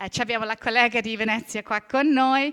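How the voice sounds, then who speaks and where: With a strong English accent, a woman speaks in fairly even intonation. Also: very clean recording, silent background. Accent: strong English accent in Italian. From Britain. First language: English (speaking Italian). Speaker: heritage management expert and lecturer. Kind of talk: conference talk. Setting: conference hall with audience, seated. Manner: halting, many fillers.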